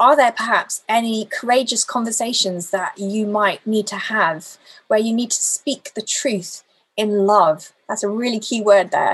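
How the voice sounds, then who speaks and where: A somewhat breathy woman's voice, fairly high in pitch, with ordinary pitch variation and a fairly slow pace. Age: 40s. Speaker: lay preacher. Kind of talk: sermon.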